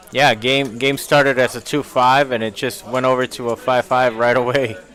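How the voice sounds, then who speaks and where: A man talks at a moderate pace and medium pitch in a monotone, flat intonation. Noticeable background noise runs under his voice. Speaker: poker stream commentator. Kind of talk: live commentary.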